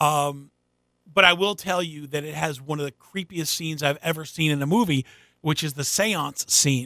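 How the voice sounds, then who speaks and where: A man with an American accent has a bright, sharp tone, a fairly high pitch and ordinary pitch variation. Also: moderate pace. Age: 50s. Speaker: radio morning show host. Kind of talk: casual chat.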